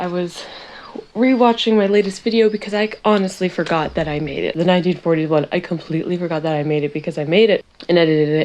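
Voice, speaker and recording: A woman's quiet, fairly low-pitched voice at a very fast pace, full of lively intonation. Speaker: beauty vlogger and animal hospital worker. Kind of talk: casual makeup tutorial chat.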